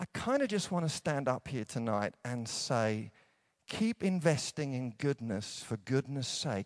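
In an English accent, a man speaks fairly slowly with a warm tone and very wide pitch swings, the sound dry and close with no echo. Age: 50s. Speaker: preacher. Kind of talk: evangelical conference sermon, warm pastoral exhortation to a big-tent crowd. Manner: conversational and self-deprecating, easing into humorous anecdotes; warm, earnest, rising encouragement with repeated rhetorical punches.

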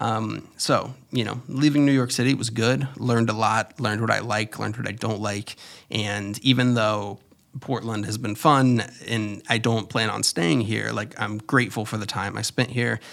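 A man's medium-pitched voice with vocal fry, fairly even intonation and a moderate pace, on a very clean recording against a silent background. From Florida, US. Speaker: podcaster and YouTuber. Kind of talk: casual solo monologue. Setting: home studio.

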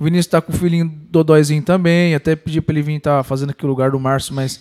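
Flat and monotone, a man with a fairly high pitch talks at a very fast pace in a dry, close sound with no echo. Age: 30s. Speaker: podcast host. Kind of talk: casual chat.

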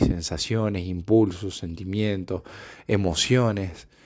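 Fairly low in pitch, a man speaks at a fairly slow pace. His intonation stays fairly even. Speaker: podcaster. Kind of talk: reflective solo monologue. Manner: halting, many filler sounds.

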